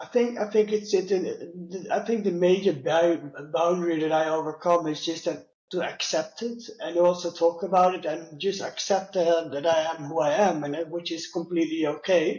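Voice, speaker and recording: A man with a Dutch accent and a high pitch talks at a moderate pace with fairly even intonation. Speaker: customer experience leader with low vision. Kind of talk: interview. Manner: halting, many fillers.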